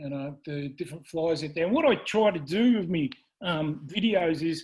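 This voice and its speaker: A man with an Australian accent speaks at a moderate pace in a high pitch for a man, his tone dark and mellow, with ordinary pitch variation over a quiet background. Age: 60s. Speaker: fly fishing presenter. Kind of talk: presentation to club. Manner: halting, many fillers.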